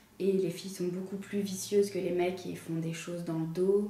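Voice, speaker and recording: A woman's medium-pitched voice with fairly even intonation at a moderate pace, amid noticeable background noise and audible room echo. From France, Dijon. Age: 20s. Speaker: engineering student. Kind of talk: interview testimony. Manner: hesitant, many filler sounds.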